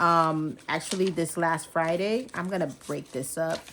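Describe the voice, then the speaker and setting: A woman mumbles at a fairly slow pace. Her pitch sits fairly low. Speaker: personal finance vlogger. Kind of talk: casual budgeting vlog. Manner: mumbling; casual, filler-heavy.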